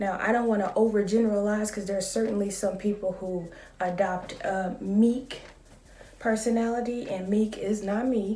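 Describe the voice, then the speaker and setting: In a calm tone and a flat, monotone delivery, this voice moves at a moderate pace amid noticeable background noise and audible room echo. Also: woman, medium pitch for a woman. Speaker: vlogger. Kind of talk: casual vlog monologue.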